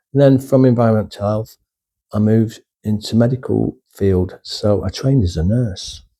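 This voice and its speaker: The voice has a dark, mellow tone, ordinary pitch variation and a northern English accent. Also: man, medium pitch for a man. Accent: northern English drawl. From northern England. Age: old. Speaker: retired YouTuber, former nurse. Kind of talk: casual vlog monologue. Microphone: cheap USB microphone.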